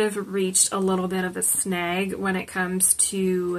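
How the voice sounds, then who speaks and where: The voice belongs to a woman. She talks at a moderate pace. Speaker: nail polish vlogger. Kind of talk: casual product review chat. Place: home room.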